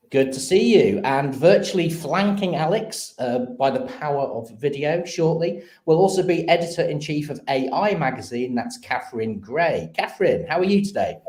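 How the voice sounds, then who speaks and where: With hardly any pauses, a man speaks at a moderate pace in a high pitch with lively intonation over noticeable background noise. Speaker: live stream host. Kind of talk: live show presenting.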